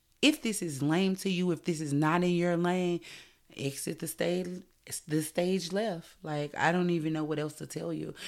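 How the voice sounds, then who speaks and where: At a fairly slow pace, a woman speaks in a fairly low pitch on a very clean recording with a silent background. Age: 30s. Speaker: podcast host. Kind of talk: solo podcast monologue. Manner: animated.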